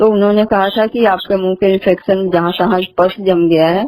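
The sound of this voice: A woman at medium pitch talks at a moderate pace, her pitch moving little. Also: slightly mellow tone.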